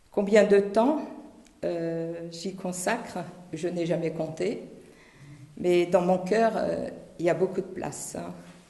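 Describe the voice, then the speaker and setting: At a very slow pace, a woman with a fairly low pitch speaks with fairly even intonation, long, frequent pauses and big swings in loudness. There is audible room echo and noticeable background noise. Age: 70s. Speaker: parish volunteer, retired physiotherapist. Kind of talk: testimony. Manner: halting.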